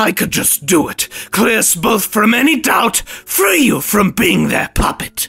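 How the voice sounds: Over faint music in the background, a man puts on a character voice, high-pitched with big pitch swings. The tone is bright and sharp with a slightly husky edge and vocal fry, at a fairly slow pace.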